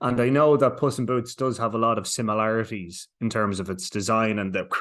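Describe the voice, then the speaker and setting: The speaker has an Irish accent and ordinary pitch variation. The background is quiet. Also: man. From Ireland. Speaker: entertainment journalist. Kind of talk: interview.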